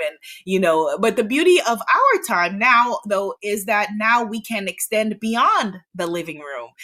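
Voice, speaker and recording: At a fairly slow pace, a woman speaks with a New York accent. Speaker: author and self-worth coach. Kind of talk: podcast interview.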